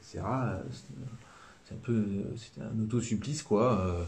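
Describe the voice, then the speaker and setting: This man speaks with a southern French accent at a moderate pace, his voice somewhat breathy. Ordinary pitch variation comes through amid audible room echo. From southern France. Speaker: priest. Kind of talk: live-stream religious teaching. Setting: live stream. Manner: casual, many hesitations.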